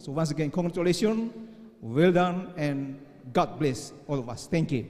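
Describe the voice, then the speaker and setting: Over noticeable background noise, a man with an Indonesian accent speaks at a fairly high pitch with lively intonation. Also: moderate pace. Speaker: debate judge or official. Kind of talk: closing remarks at school debate final. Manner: halting.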